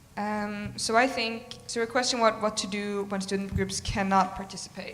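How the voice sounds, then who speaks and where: Moderate pacing from a woman at a medium pitch, with room echo audible. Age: 20s. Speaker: presidential candidate at student election. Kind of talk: answering questions at election meeting.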